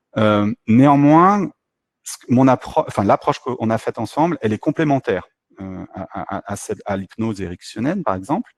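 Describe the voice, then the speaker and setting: Music plays in the background as a man speaks with very wide pitch swings and big swings in loudness. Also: medium pitch for a man, dry, close sound with no echo. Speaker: mindfulness instructor. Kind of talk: webinar talk answering questions. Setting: online webinar. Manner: fast; hesitant, many fillers.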